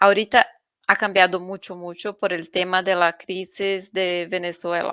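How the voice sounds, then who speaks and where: A woman with a Brazilian accent speaks at a fairly slow pace in a medium-pitched, bright, sharp tone with monotone, flat intonation, on a very clean recording with a silent background. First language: Portuguese (speaking Spanish). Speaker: UN refugee agency officer. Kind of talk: panel discussion.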